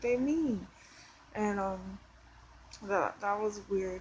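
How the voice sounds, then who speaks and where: With an American accent, a woman speaks at a medium pitch in a somewhat breathy voice and fairly even intonation. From New York City, Brooklyn. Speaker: vlogger. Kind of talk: personal testimony. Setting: indoors at home. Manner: halting, many fillers.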